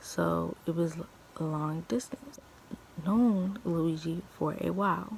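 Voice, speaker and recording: A woman speaks quietly in a fairly low voice. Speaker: YouTuber telling personal stories. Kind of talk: storytime vlog. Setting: at home, early morning. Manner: talking low, quiet; stuttering, halting.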